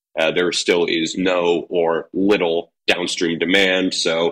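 A man's very deep, low voice comes through bright and sharp in a flat monotone, with a dry, close sound and no echo. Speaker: steel market analyst. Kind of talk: casual chat.

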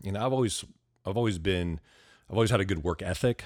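A man with an American accent is heard in a very clean recording against a silent background. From US West Coast, Ventura County, California. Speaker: real estate investor and public speaker. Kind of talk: interview conversation. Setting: at guest's home.

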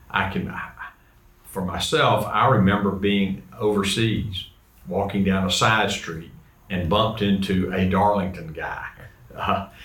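A man with a Southern US accent, very slow and fairly low-pitched, with fairly even intonation and noticeable background noise. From US South, Georgia. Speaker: guest host, alumnus and former teacher. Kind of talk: casual interview chat.

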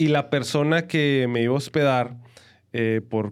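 A man is speaking. The recording is very clean, with a silent background. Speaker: podcast co-host with his wife. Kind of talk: casual chat. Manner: animated.

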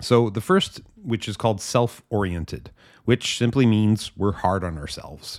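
In a very clean recording with a silent background, a man talks at a moderate pace in a calm tone at medium pitch. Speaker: podcast host. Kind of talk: scripted narration.

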